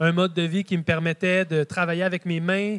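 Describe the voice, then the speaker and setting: In a high voice, a man talks with monotone, flat intonation. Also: quiet background. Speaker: speaker. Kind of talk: conference talk. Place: hall.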